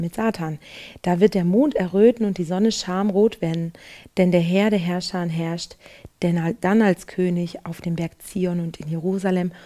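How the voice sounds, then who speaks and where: Her tone is dark and mellow. The woman speaks at a fairly slow pace. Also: fairly even intonation. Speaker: presenter. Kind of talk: devotional Bible commentary. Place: studio. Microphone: headset.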